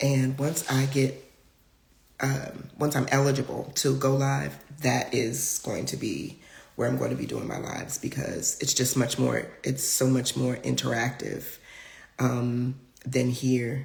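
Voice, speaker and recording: With audible room echo around her, a woman delivers her words at a fairly slow pace. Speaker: spiritual healer and live-stream host. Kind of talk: live-stream talk. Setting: live stream on social media.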